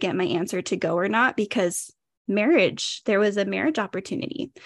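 In an ordinary speaking voice, a woman with an American accent talks at a moderate pace and medium pitch against a quiet background. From California. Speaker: podcaster. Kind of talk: casual interview.

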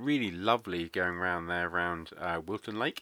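Speaking with an English accent at a moderate pace, a man has a very deep, low pitch, ordinary pitch variation and a bright, sharp tone, recorded very cleanly with a silent background in a dry, close sound with no echo. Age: 30s. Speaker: podcast host, stroke survivor. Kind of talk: casual monologue.

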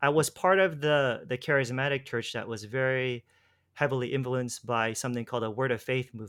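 Medium in pitch with ordinary pitch variation, a man has a normal speaking voice and speaks at a fairly quick pace. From US, Los Angeles. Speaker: former preacher and faith healer. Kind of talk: interview conversation. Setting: remote call. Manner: casual, laughs often.

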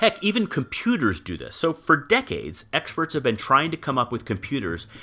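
With a bright, sharp tone and vocal fry, a man speaks at a moderate pace, his pitch swinging very widely. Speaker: television producer. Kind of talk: casual podcast chat with scripted reading.

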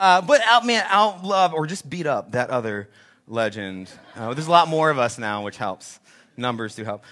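A man speaks at a fairly high pitch with a bright, sharp tone. His pitch swings very widely against a quiet background. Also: moderate pace, big swings in loudness. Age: 40s. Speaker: pastor. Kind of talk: sermon. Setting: church. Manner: halting.

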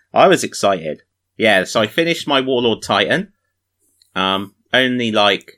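The speaker has a British accent and a bright, sharp tone. The delivery is fairly slow. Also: man. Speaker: podcast host. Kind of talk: casual chat. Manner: self-deprecating, joking.

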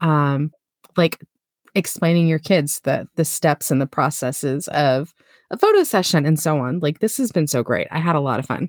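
A woman with an American accent speaks in a very deep, low pitch at a moderate pace, with ordinary pitch variation and a dry, close sound with no echo. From Florida. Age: 40s. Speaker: podcast host. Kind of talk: casual chat.

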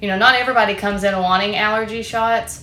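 In a Tennessee accent, a woman talks fairly quickly with fairly even intonation, amid audible room echo and noticeable background noise. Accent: Southern US (Tennessee). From Tennessee (Sparta). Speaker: nurse practitioner. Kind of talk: interview.

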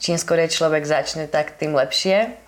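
A woman with a very deep, low pitch speaks at a moderate pace amid noticeable background noise. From western Slovakia, Holíč. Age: 20s. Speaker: life coach and entrepreneur. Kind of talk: interview.

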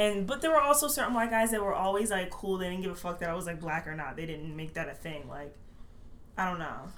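Very fast and with lively intonation, a woman with an American accent speaks amid audible room echo. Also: medium pitch for a woman. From Maryland, Baltimore area. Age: 20s. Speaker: college student. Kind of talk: casual chat. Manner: quiet at first.

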